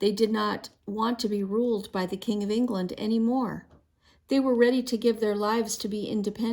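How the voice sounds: Fairly even intonation from a natural reading voice.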